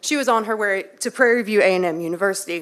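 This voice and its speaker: In a Texas accent, a woman speaks at a moderate pace with a bright, sharp tone and lively intonation. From Texas, Waller County. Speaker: public commenter. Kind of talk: public comment speech. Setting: city council chamber.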